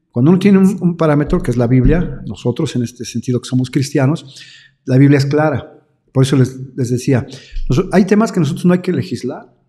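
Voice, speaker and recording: The voice is somewhat breathy with a dark, mellow tone, ordinary pitch variation and a moderate pace. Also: man. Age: 60s. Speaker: pastor. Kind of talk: interview. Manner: halting.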